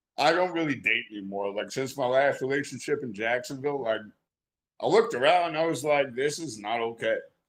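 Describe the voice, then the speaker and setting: In a plain, everyday voice, a man speaks with lively intonation and a fairly high pitch. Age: 30s. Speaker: podcast guest. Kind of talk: casual chat.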